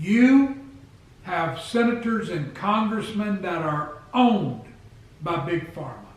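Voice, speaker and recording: With noticeable background noise behind him, a man talks in a high pitch. His intonation is lively. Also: long, frequent pauses, big swings in loudness. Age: 60s. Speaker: health vlogger. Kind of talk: casual talk to camera.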